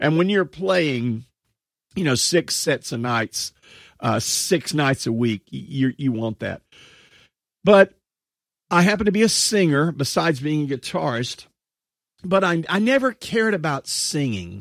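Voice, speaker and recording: A man with an American accent at a fairly slow pace, with very wide pitch swings, long and frequent pauses, and a dry, close sound with no echo. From Texas. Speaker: podcast host and solo musician coach. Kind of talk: personal storytelling monologue.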